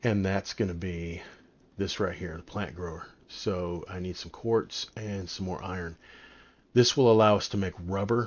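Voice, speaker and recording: Pitched very deep and low, a man speaks with fairly even intonation. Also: moderate pace, big swings in loudness. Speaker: gaming YouTuber. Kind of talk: gameplay commentary. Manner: casual with many fillers.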